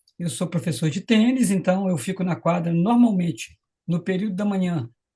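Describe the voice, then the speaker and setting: A high-pitched man's voice, dark and mellow in tone, with ordinary pitch variation. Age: 60s. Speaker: tennis coach sharing product testimonial. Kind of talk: testimony. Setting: live stream.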